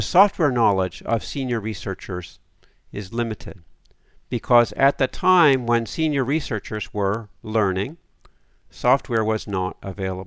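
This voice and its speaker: On a very clean recording with a silent background, a man speaks in a normal speaking voice. His pitch is medium, his intonation lively, and his pace fairly slow. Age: 60s. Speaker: academic lecturer. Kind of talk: lecture.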